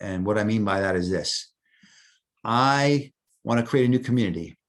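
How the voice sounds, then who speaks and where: A man with a New York accent talks at a medium pitch with ordinary pitch variation. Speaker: software volunteer presenter. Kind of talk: tutorial. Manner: casual, hesitant with fillers.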